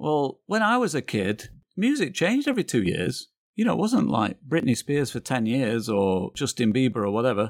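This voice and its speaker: With a northern English accent, a man talks at a moderate pace and medium pitch, the sound dry and close with no echo. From northern England, Manchester area. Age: 50s. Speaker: photographer and graphic designer. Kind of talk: casual chat.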